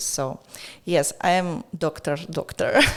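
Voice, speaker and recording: The speaker is a woman with a Russian accent. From Russia, near Moscow. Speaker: art gallery owner. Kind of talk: casual interview. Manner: halting.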